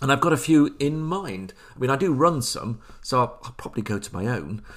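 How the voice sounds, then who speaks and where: A man talks with vocal fry and lively intonation. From England, Leicester area. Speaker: podcast host, tabletop gamer. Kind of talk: solo podcast monologue. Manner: halting.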